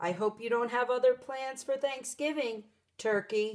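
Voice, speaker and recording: This woman uses a put-on character voice, pitched high and delivered at a moderate pace. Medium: read story. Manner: booming, courteous.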